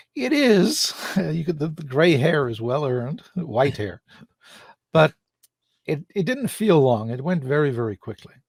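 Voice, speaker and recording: A man speaks with a fairly high, somewhat breathy voice and very wide pitch swings. His fairly slow delivery has long, frequent pauses, heard dry and close with no echo. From Ireland. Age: 60s. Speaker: public speaker. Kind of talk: interview.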